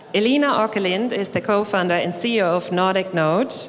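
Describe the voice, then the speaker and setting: In a German accent, a woman speaks at a moderate pace and medium pitch with ordinary pitch variation. There is noticeable background noise and audible room echo. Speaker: event presenter. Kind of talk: stage announcement. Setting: stage with audience.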